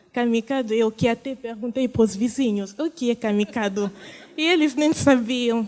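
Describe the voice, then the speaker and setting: A woman speaks with a non-native accent, her fairly high voice showing ordinary pitch variation. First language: not Portuguese (speaking Portuguese). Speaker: refugee, panel speaker. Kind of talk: testimony. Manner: halting.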